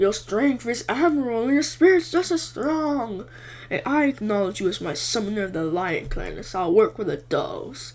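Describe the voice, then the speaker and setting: Using a put-on character voice with a fairly high pitch and very wide pitch swings, the speaker moves at a moderate pace. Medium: read story. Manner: proud, formal.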